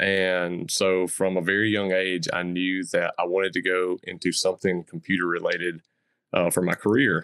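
A man with a Southern US accent speaks at a moderate pace, his pitch very deep and low. The recording is very clean with a silent background, and the sound is dry and close with no echo. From US South. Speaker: crypto content creator. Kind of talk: podcast interview.

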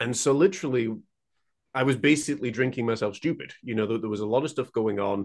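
In a West Yorkshire accent, a man talks at a very fast pace with medium pitch and ordinary pitch variation. The background is quiet. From northern England (Huddersfield, West Yorkshire). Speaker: painter and mental health mentor. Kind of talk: interview conversation.

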